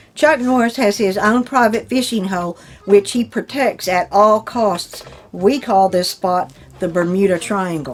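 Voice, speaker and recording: Lively intonation over noticeable background noise. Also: woman, medium pitch for a woman, fairly slow pace. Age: 60s. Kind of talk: reading jokes aloud with casual reactions to camera.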